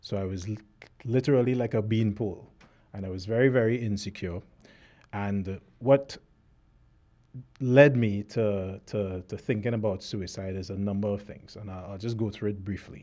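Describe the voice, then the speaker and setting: A man with a Trinidadian accent, a dark, mellow tone, fairly even intonation and long, frequent pauses. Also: fairly low pitch for a man, moderate pace. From Trinidad (Cascade, Port of Spain). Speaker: author. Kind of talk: interview testimony. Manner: halting.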